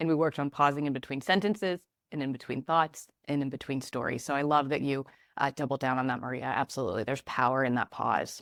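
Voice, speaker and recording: Very deep and low for a woman, her voice races at a very fast pace with ordinary pitch variation, in a very clean, dry, close recording with a silent background and no echo. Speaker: communication trainer and former TV news reporter. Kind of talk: podcast interview.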